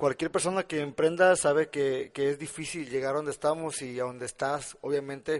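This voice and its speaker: A man talks in a plain, everyday voice with a fairly high pitch and fairly even intonation. His pace is fairly quick, with hardly any pauses. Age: 20s. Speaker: podcast host and entrepreneur. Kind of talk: interview.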